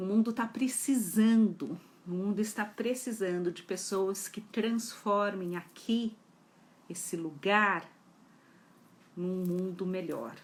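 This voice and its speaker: A woman talks at a very slow pace with ordinary pitch variation. Long, frequent pauses run through her speech. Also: medium pitch for a woman. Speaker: psychology educator. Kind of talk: live talk.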